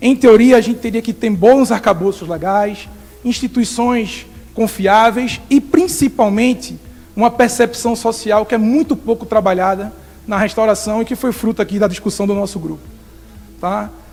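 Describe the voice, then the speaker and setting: A man with a Recife accent and a high pitch, at a moderate pace, with noticeable background noise. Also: ordinary pitch variation. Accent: Recife (northeastern Brazilian), noticeable. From Brazil, Recife (Pernambuco, Northeast). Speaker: environmental researcher. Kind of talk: conference talk. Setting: workshop with audience.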